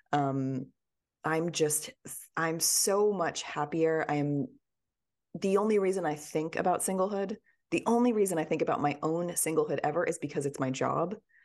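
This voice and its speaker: This woman has an ordinary speaking voice at a fairly low pitch. She talks at a moderate pace with ordinary pitch variation. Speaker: author and podcaster. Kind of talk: interview, casual chat.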